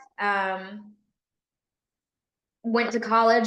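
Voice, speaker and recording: Over audible room echo, a woman in a Southern US accent speaks with fairly even intonation. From US South, Tennessee near Memphis. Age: 20s. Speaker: police officer. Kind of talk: podcast interview.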